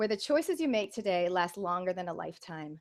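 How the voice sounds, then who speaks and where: In an American accent, a woman speaks with an energetic tone at a moderate pace. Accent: sounds American. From Canada. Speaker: business coach. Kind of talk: webinar presentation. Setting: online video call.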